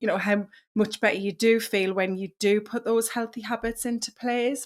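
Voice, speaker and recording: With a British accent, a woman speaks at a moderate pace and a fairly high pitch. Her intonation is monotone and flat, on a very clean recording with a silent background. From northeast England. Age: 40s. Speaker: wellness coach. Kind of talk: podcast interview.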